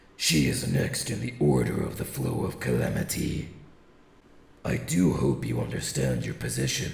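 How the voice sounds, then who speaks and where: A man puts on a cartoonish character voice with a very deep, low pitch. He goes at a fairly slow pace, with slight echo. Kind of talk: anime dub performance. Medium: dub. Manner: calm, measured, formal.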